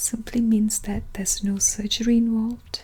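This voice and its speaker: A soft-spoken voice in a gentle tone over noticeable background noise. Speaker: ASMR roleplay creator playing a clinic consultant. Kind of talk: soft-spoken ASMR medical consultation roleplay. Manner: soft-spoken, gentle.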